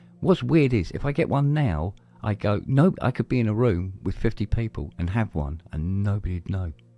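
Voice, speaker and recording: In a very clean recording with a silent background, a man speaks with an English accent at a moderate pace. His voice is fairly low, dark and mellow, with very wide pitch swings. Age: 60s. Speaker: podcast host. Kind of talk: casual chat.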